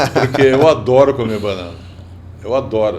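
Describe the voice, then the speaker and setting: A man at medium pitch and a moderate pace, with ordinary pitch variation, audible room echo and noticeable background noise. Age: 70s. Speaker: podcast host. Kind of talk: casual podcast interview.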